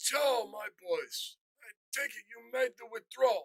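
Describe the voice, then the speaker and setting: A man's put-on character voice, extremely high-pitched and fairly slow-paced. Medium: audio drama. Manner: mobster-style, controlled.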